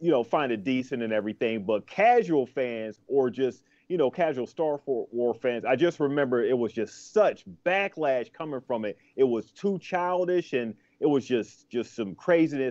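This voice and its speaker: The setting is quiet. A man speaks at a medium speed. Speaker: podcast co-host. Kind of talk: casual podcast discussion. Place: home room. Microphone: video call.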